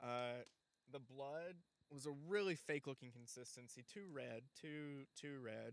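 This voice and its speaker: The speech moves at a fairly slow pace, with ordinary pitch variation. There is a slight Southern US accent. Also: man, medium pitch for a man. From Alabama. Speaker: comedy podcast host. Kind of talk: comedic late-night talk show monologue. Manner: jokey, animated.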